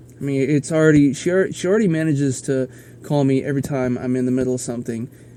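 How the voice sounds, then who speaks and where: A man with an American accent at medium pitch, talking very fast with ordinary pitch variation over noticeable background noise. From US Midwest. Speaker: podcaster. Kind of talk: casual monologue. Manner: halting.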